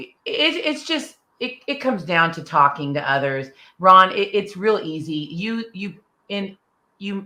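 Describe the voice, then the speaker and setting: A woman talks at a fairly slow pace in a bright, sharp tone. Her pitch swings very widely. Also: medium pitch for a woman. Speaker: car sales professional and author. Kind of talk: interview. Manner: animated.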